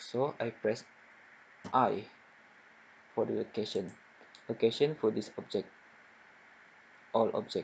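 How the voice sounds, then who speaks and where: A man with a medium pitch and vocal fry talks at a fairly slow pace with fairly even intonation. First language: not English. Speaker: software tutorial maker. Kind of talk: tutorial.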